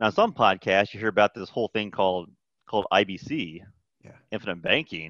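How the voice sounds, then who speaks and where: A man with a plain, everyday voice speaks at a moderate pace and fairly low pitch, with ordinary pitch variation, in a dry, close sound with no echo against a quiet background. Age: 40s. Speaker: accountant. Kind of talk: casual chat.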